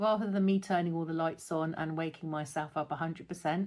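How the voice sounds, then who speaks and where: This is a woman speaking with a British accent. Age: 60s. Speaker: lifestyle vlogger. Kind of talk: casual talk to camera. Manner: hesitant, with fillers.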